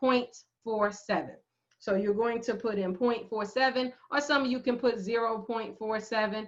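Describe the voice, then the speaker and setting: With a slight New Jersey accent, the speaker has an animated tone and keeps a moderate pace. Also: woman, fairly high pitch for a woman. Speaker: math professor. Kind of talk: lecture. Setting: screen-share video lecture.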